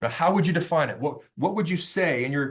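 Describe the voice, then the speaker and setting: Somewhat breathy, a man with a fairly high pitch speaks at a fairly quick pace. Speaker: workplace safety consultant. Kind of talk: webinar lecture. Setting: online webinar. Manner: fast; impassioned.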